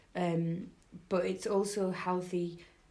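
There is audible room echo around this woman's dark, mellow tone. Her pitch is fairly low and her intonation is monotone and flat. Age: 20s. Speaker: podcast host. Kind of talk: casual chat.

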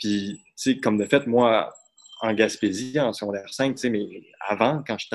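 A man speaks in a plain, everyday voice at a moderate pace. The background is quiet. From Quebec, Saguenay. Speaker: student and slam poet. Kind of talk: casual chat. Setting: performance hall, on video call.

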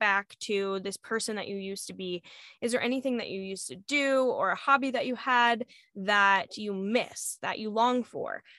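The voice is loud with a bright, sharp tone and lively intonation, moving at a moderate pace in a dry, close sound with no echo. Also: woman. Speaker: podcast co-host, mom. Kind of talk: casual chat.

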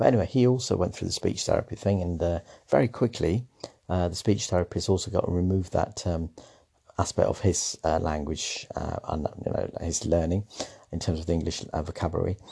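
A man with a British accent, his very deep, low pitch and dark, mellow tone somewhat breathy at a fairly quick pace. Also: ordinary pitch variation. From Sri Lanka, raised in the English Midlands. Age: 50s. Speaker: former secondary school teacher. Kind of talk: personal storytelling monologue. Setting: at home. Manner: halting.

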